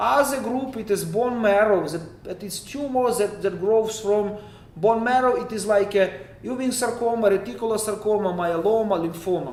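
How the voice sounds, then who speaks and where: A man with a Ukrainian accent, high in pitch with ordinary pitch variation, at a moderate pace with hardly any pauses, amid noticeable background noise and audible room echo. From western Ukraine. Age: 30s. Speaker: oncologist. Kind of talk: lecture. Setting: online meeting. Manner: halting.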